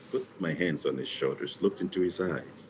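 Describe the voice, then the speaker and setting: The voice belongs to a man. His speech is in a non-native accent. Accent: foreign. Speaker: physician. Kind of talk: interview testimony.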